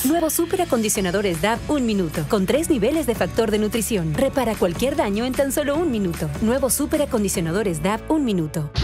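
The speaker rushes at a very fast pace with hardly any pauses, keeping loudness very even while the pitch swings very widely. Music plays in the background. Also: woman, fairly high pitch for a woman. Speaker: voice actor. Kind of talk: TV commercial read.

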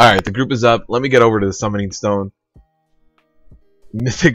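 Faint music runs under a man speaking at a medium pitch with fairly even intonation, the sound dry with no echo. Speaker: video game streamer. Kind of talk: live gameplay stream chat. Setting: live stream. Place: home room.

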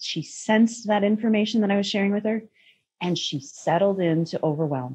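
A woman with an American accent has a dark, mellow, somewhat breathy voice. Her intonation is lively and her pace moderate. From US Midwest, Minnesota. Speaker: parenting guest, intuitive counselor; guest. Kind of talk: interview conversation. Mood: earnest, reflective. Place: home room. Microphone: video call.

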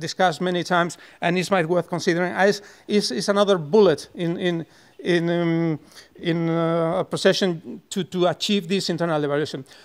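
Over a quiet background, a man talks at a moderate pace with a high pitch and fairly even intonation. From Spain. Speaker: newspaper editorial board director. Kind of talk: panel debate. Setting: stage with audience. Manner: halting, many repetitions. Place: hall. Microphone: podium.

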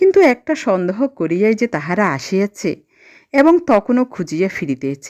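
The voice reads aloud naturally. That is the whole of it.

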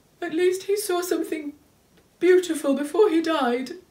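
Shaky and extremely high in pitch, a put-on character voice goes at a moderate pace. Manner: shaky, grieving.

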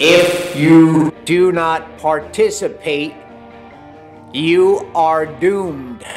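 Against audible room echo and faint music in the background, a man talks at a very slow pace with fairly even intonation. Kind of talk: motivational vlog rant. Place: home room. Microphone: phone near.

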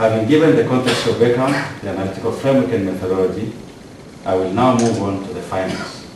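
Speech comes at a very fast pace with audible room echo and noticeable background noise. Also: man, ordinary pitch variation. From Tanzania. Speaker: PhD candidate. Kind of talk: prepared academic presentation. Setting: ceremony hall with audience and PA system. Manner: formal. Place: hall.

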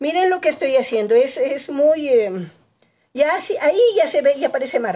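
A woman's high pitch with very wide swings and a dark, mellow tone. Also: moderate pace. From Ecuador, Quito; Ecuador. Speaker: painting teacher. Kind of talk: live tutorial. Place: home room. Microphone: phone near.

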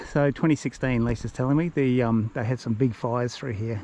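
The speech moves at a moderate pace over light background noise. The sound is dry, with no echo. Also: man. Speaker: travel vlogger. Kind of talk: casual vlog chat. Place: open country. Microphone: phone near.

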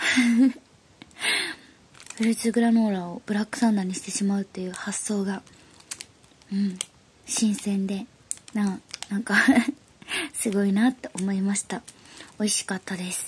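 Against light background noise, the speech moves at a fairly slow pace with long, frequent pauses. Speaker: snack reviewer. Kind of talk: casual vlog chat. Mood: cheerful, laughing. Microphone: phone near.

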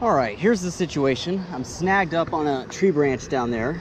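Over faint background noise, a man with a fairly high pitch talks at a fairly slow pace.

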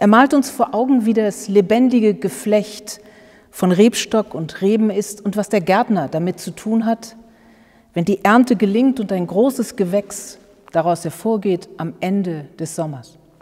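Against a quiet background, a woman talks at a fairly slow pace with ordinary pitch variation. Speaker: pastor. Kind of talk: sermon. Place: church.

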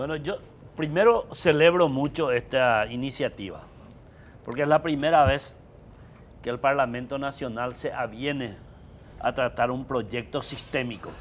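The speaker moves at a fairly slow pace with long, frequent pauses and ordinary pitch variation over light background noise. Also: man. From Paraguay. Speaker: electoral expert; guest. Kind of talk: political panel discussion. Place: studio. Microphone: lapel.

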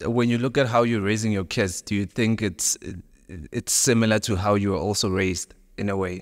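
Against a quiet background, a man with an unremarkable speaking voice talks at a moderate pace, his fairly low pitch held in fairly even intonation. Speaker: podcast host. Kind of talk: interview. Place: studio. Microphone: studio mic.

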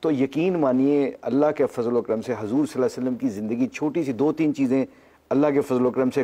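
This man's dark, mellow tone carries ordinary pitch variation. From Pakistan. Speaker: former cricketer; talk show guest. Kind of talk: personal testimony. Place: studio.

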